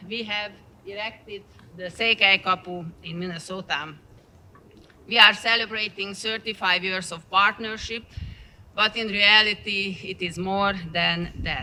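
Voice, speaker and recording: The speaker has a Transylvanian accent and talks at a fairly slow pace. Long, frequent pauses break up the speech. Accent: Transylvanian Hungarian. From Transylvania, Romania. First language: Hungarian. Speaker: partner church representative. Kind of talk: dedication speech. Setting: outdoors.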